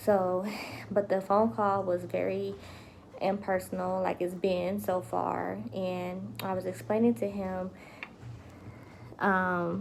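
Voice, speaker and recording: A woman speaks quietly at a very slow pace. Her speech has long, frequent pauses. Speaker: vlogger. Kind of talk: casual live vlog update. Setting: home livestream. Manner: lowered voice, quiet.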